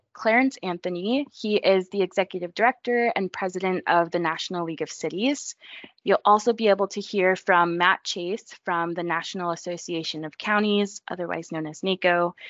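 A woman with an American accent and an unremarkable speaking voice talks at a moderate pace and medium pitch with ordinary pitch variation. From suburban US. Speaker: podcast co-host, marketing specialist. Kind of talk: podcast introduction.

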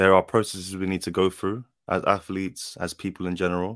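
In a London accent, a man speaks with a very deep, low pitch and a flat, monotone intonation. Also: very clean recording, silent background. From South London. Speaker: footballer. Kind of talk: casual chat.

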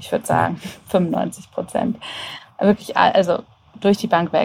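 Speaking at a moderate pace, a woman has a dark, mellow tone with vocal fry and ordinary pitch variation. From Germany, Hannover. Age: 30s. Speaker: app developer and agency owner. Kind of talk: casual interview.

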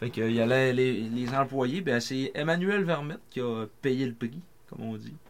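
The voice is a plain, everyday voice with ordinary pitch variation. It moves at a fairly slow pace. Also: man, medium pitch for a man. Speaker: sports podcast co-host. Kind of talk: reading aloud; casual chat.

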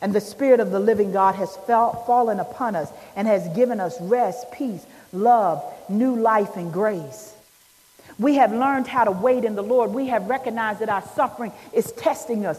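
A woman with a fairly high pitch and a warm, animated tone speaks with ordinary pitch variation over noticeable background noise. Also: moderate pace. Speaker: preacher. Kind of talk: sermon. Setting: church. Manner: animated, call-and-response, urging the congregation to answer amen; warm, emphatic, building to an uplifting close.

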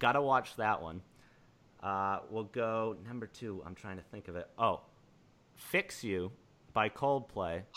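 Long, frequent pauses break up the speech of a man with an American accent, whose fairly low voice has a bright, sharp tone and big swings in loudness. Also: ordinary pitch variation, fairly slow pace, very clean recording, silent background. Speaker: podcast host. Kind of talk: casual chat.

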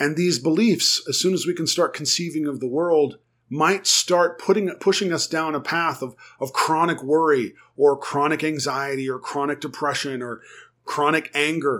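On a very clean recording with a silent background, a man with an unremarkable speaking voice, fairly high in pitch, talks at a moderate pace with ordinary pitch variation. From United States. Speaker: therapist. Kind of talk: solo podcast talk on psychology.

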